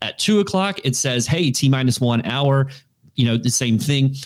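Using a normal speaking voice, a man with an American accent speaks at a moderate pace with a fairly high pitch and ordinary pitch variation. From Florida. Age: 40s. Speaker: digital media marketer. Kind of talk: casual interview.

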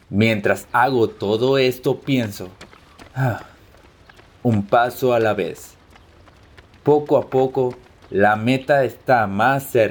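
Against noticeable background noise, the speaker goes at a very slow pace with long, frequent pauses and fairly even intonation. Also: man, medium pitch for a man. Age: 20s. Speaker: soldier. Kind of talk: scripted first-person narration.

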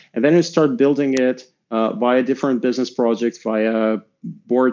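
A man with a dark, mellow tone and medium pitch speaks at a moderate pace with a Russian accent over a quiet background. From Russia, Moscow. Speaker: tech executive and angel investor. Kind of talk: interview. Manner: halting, many fillers.

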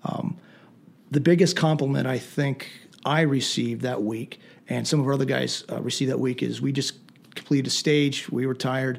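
A man with an American accent and an ordinary speaking voice, medium in pitch, at a moderate pace with fairly even intonation. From southern Pennsylvania, Lancaster County. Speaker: Army veteran and firearms instructor. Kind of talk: interview. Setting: studio.

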